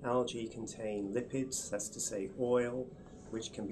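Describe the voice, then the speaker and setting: Amid noticeable background noise and audible room echo, a man with an English accent speaks at a moderate pace with monotone, flat intonation. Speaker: research scientist. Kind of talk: interview explanation. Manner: hesitant, many fillers.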